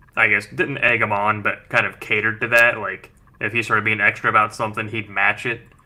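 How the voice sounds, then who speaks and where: A man with a fairly low voice speaks very fast. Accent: American. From West Virginia. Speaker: podcast co-host. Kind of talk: casual chat. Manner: animated.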